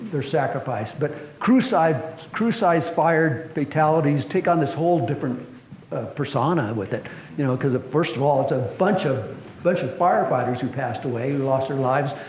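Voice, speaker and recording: Over noticeable background noise and audible room echo, a man speaks at a moderate pace with a fairly high pitch and ordinary pitch variation. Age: 70s. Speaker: fire service historian speaker. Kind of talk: presentation. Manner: halting, many fillers.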